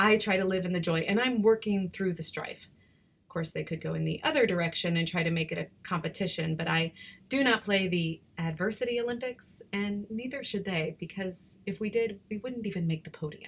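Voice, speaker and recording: Barely pausing, a somewhat breathy woman speaks at a fairly quick pace with a medium pitch and ordinary pitch variation. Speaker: poet. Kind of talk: spoken word poetry.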